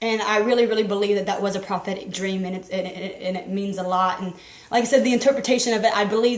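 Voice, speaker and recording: Noticeable background noise surrounds a woman's voice. Her speech carries audible room echo. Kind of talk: testimony. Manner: halting, repeats words.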